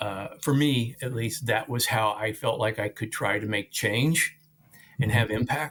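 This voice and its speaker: An ordinary speaking voice from a man with an American accent, medium in pitch, at a fairly slow pace with ordinary pitch variation. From rural Missouri. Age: 60s. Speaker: nonprofit leader. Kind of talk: interview.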